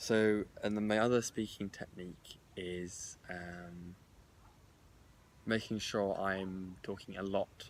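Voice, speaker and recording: Very deep, low male voice, monotone and flat, at a very slow pace. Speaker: podcast host. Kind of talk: casual chat. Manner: stutters.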